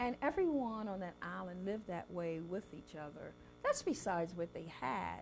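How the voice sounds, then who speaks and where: With music in the background, a woman in an American accent speaks at a moderate pace. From South Carolina Lowcountry. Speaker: chef and cookbook author. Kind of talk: interview answer.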